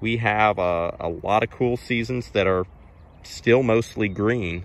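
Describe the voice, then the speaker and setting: Dry with no echo, the speech comes at a fairly slow pace with ordinary pitch variation. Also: man. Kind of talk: casual field walk-through commentary. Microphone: phone near.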